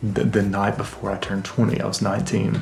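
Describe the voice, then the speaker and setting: A man whispering at a fairly quick pace, with music in the background and audible room echo. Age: 30s. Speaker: vlogger. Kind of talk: casual monologue. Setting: home basement. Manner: reflective, halting.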